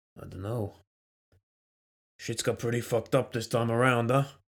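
Doing a raspy put-on character voice, a man speaks at a moderate pace in a medium pitch with monotone, flat intonation. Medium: audio drama. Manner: gruff, casual, sardonic.

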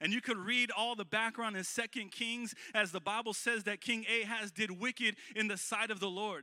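A man projects a raised voice at a high pitch, with a bright, sharp tone and an animated, warm tone. The sound is dry and close, with no echo. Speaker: guest preacher. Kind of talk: sermon delivered live to a congregation, with call-and-response. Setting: church. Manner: animated, warm and exhortatory, building to bold rallying calls; conversational and folksy, with frequent fillers and repeated phrases.

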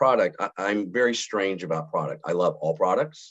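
With an American accent, a man talks at a fairly quick pace with lively intonation. His is an unremarkable speaking voice. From US South, Montgomery, Alabama. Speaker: sales executive. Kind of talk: casual interview.

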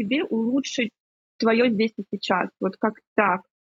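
Here is a normal speaking voice. It belongs to a woman with a fairly high pitch. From Ukraine. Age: 30s. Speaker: psychotherapist. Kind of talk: casual chat.

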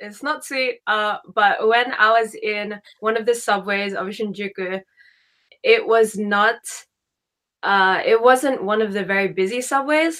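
At a very slow pace, a woman speaks at a medium pitch with ordinary pitch variation and a bright, sharp tone. The recording is very clean, with a silent background. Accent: Australian. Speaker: travel podcast host. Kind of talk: casual interview.

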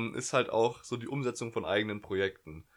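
On a very clean recording with a silent background, a man at medium pitch speaks with fairly even intonation. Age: young. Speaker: podcast co-host, student. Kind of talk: casual chat. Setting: bedroom at home. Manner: hesitant, many fillers.

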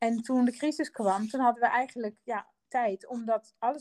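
A woman talks at a moderate pace. Her voice sounds dry and close, with no echo. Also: very clean recording, silent background. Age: 50s. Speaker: designer and company co-founder. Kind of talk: interview. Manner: halting, many fillers.

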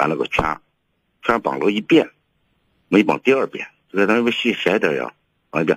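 A man with vocal fry and a fairly low pitch makes very wide pitch swings in a dry, close sound with no echo. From rural northern China. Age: 60s. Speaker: caller. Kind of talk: call-in advice conversation. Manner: halting, repeating words.

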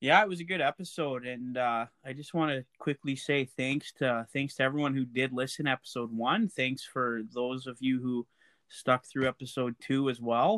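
In a Canadian accent, a man speaks at a moderate pace with hardly any pauses, using a normal speaking voice of medium pitch and ordinary pitch variation. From Alberta, Canada. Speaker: podcast co-host. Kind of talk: casual chat.

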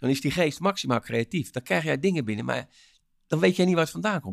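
A man with a fairly high voice and vocal fry speaks in an animated tone with very wide pitch swings, in a very clean recording with a silent background. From Rotterdam, Netherlands. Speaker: motivational speaker and author. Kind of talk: interview. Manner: energetic.

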